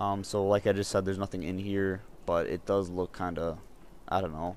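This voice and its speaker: Very deep and low in pitch, a man talks at a fairly quick pace with fairly even intonation. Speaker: gaming YouTuber. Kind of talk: gameplay walkthrough commentary. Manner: monotone; halting, many fillers.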